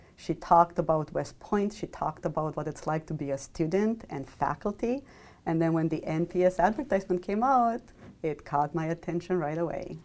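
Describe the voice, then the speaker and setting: A woman speaks with a Romanian accent. Her pitch is fairly low, and her pace is fairly quick. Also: ordinary pitch variation. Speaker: mathematics professor. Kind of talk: interview.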